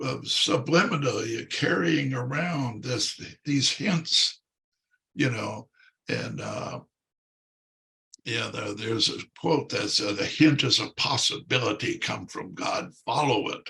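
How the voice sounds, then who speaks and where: A man with an American accent speaks at a very slow pace in a fairly high voice, with lively intonation and long, frequent pauses. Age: 80s+. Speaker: priest, former pro football player. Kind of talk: interview, personal testimony. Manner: halting, many fillers.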